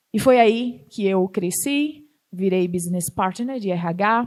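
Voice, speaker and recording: A woman speaks in a northeastern Brazilian accent at a medium pitch. The recording is very clean, with a silent background. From Northeast Brazil. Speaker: startup founder and CEO. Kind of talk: talk to an audience.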